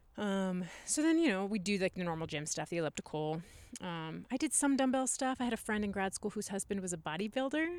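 In an American accent, a woman talks at a fairly quick pace and a medium pitch. Her pitch swings very widely, and the recording is very clean with a silent background. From US Midwest, Nebraska. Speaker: copy editor. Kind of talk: casual chat.

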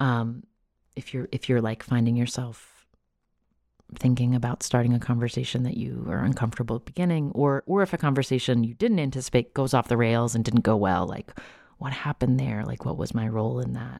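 Vocal fry runs through a woman's very deep, low pitch and dark, mellow tone. She moves at a fairly quick pace on a very clean recording with a silent background. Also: ordinary pitch variation. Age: 40s. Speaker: podcast host and author. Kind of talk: interview. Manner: halting.

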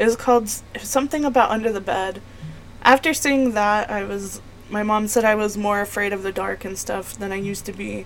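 A woman talks fairly quickly, with noticeable background noise behind her. Her voice sits at a medium pitch, and her intonation stays fairly even. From New Mexico, Las Cruces. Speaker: podcast host. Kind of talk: casual monologue.

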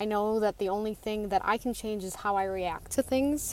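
This woman has a normal speaking voice with an American accent. Her pitch is medium. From Western New York. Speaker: community member. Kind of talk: testimony.

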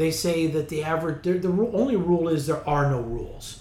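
This man's voice is fairly high and somewhat breathy. He speaks at a moderate pace. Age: 50s. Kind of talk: interview.

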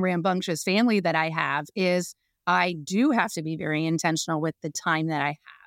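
A woman with an American accent talks in a normal speaking voice at a moderate pace, with ordinary pitch variation. The sound is dry and close with no echo, and the recording is very clean against a silent background. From US, Northern Virginia. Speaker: business owner and CEO. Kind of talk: casual interview.

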